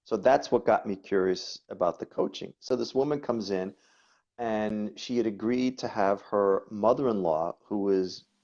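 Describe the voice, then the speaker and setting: Over a quiet background, a man with a New York accent speaks at a medium pitch in a dark, mellow tone. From New York, the Bronx. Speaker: coach and body worker. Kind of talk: interview chat.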